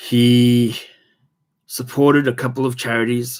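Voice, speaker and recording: The man's voice sits at a medium pitch, monotone and flat, at a fairly slow pace. The recording is very clean with a silent background. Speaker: comic collector youtuber. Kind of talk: casual vlog talk. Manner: halting, many fillers.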